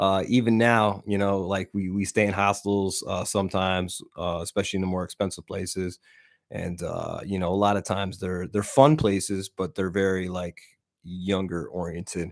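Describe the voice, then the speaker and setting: This man has a very deep, low voice and keeps a moderate pace. His intonation is fairly even, and the recording is very clean with a silent background. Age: 40s. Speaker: podcast host. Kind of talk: casual solo podcast talk. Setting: recorded with webcam. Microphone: new microphone.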